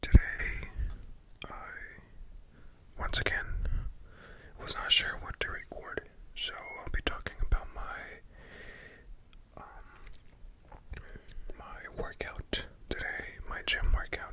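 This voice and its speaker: The voice is whispering, very slowly, with long, frequent pauses. Noticeable background noise can be heard. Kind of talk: ASMR whispered talk about a gym workout. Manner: whispered, soft-spoken.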